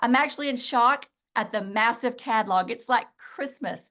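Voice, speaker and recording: A woman's high-pitched, animated voice at a moderate pace against a quiet background. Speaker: direct sales trainer. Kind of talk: training talk.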